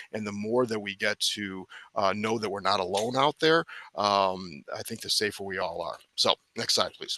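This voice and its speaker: The man's fairly low voice has a bright, sharp tone and ordinary pitch variation, recorded with a dry, close sound and no echo. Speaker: recovery school board chair and school staff. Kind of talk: webinar presentation. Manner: fast; halting, many fillers and restarts.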